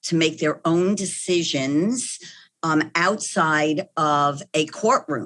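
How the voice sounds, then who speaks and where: At a very slow pace, a woman with a slight New York accent talks at a fairly low pitch with ordinary pitch variation, the background quiet. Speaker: clinical psychologist. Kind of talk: podcast interview.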